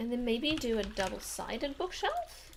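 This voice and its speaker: A woman speaks very slowly while noticeable background noise carries on behind her. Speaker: streamer. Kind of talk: casual live-stream commentary while gaming.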